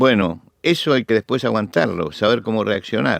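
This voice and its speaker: A man speaks at a moderate pace with vocal fry. The recording is very clean, with a silent background and a dry, close sound with no echo. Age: 70s. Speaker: preacher. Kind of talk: interview testimony. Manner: halting.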